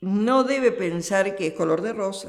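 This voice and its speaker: Speaking very slowly, a woman with an Argentine accent uses lively intonation with vocal fry. Audible room echo is present. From Argentina. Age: 70s. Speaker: religious sister. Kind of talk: interview. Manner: halting.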